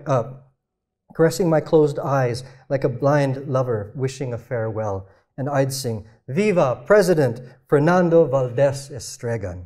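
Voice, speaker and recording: Speaking with an American accent at a fairly slow pace, a man with a medium pitch and a dark, mellow, somewhat breathy tone uses lively intonation over a quiet background. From Philippines, raised partly in US and Canada. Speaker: novelist and panel moderator; author on a panel. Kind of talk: literary panel discussion. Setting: stage with audience. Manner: halting, many repeated words and fillers. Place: stage. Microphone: lapel.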